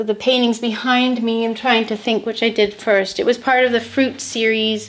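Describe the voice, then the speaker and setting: A woman with a Canadian accent speaks at a moderate pace. Her pitch is fairly high. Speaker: painter. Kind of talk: interview. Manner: halting, repeats words.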